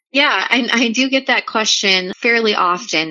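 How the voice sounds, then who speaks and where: The speaker keeps a moderate pace with ordinary pitch variation. It is an ordinary speaking voice. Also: woman. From New Orleans, US. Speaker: coast guard public affairs specialist. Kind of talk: podcast interview.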